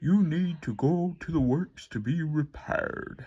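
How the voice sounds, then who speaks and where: A put-on character voice at a fairly slow pace. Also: man, fairly high pitch for a man. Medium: read story. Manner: authoritative.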